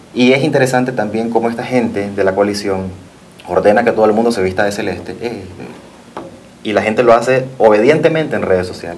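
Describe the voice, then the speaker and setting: Fairly quick speech from a medium-pitched man, with noticeable background noise and audible room echo. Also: ordinary pitch variation. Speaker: fashion designer. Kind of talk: TV interview.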